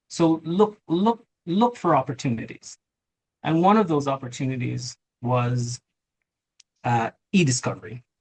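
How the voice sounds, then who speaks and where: Somewhat breathy and fairly high-pitched, a man speaks at a fairly slow pace with lively intonation and long, frequent pauses. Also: dry, close sound with no echo. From Jamaica. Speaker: lawyer and tech company CEO. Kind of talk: interview.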